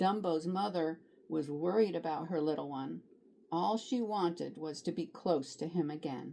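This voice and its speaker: Her intonation is lively, with vocal fry running through it. This woman keeps a moderate pace. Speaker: grandmotherly storybook reader. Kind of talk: children's picture book read-aloud.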